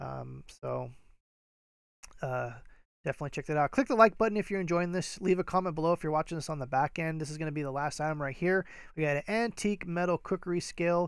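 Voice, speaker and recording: Speaking at a very fast pace with ordinary pitch variation, this voice comes through a very clean recording against a silent background. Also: man, fairly high pitch for a man. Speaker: eBay reseller. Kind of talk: live stream chat. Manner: casual with many fillers.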